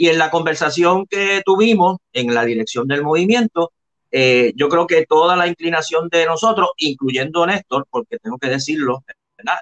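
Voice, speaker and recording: A man's high-pitched voice with lively intonation. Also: moderate pace, dry, close sound with no echo. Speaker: professor, historian and senate candidate. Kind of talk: interview. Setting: video call.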